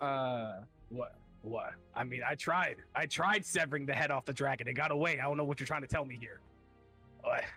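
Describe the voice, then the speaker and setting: A man performs a put-on character voice at a fairly high pitch and moderate pace. His pitch varies in an ordinary way, with faint music in the background. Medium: actual play. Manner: fast, flustered, repetitive.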